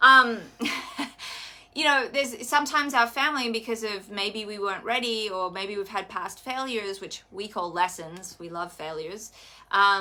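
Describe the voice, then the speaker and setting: A woman with an Australian accent, fairly high pitch, lively intonation and moderate pace, on a very clean recording with a silent background. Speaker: wellness coach. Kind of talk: live stream chat.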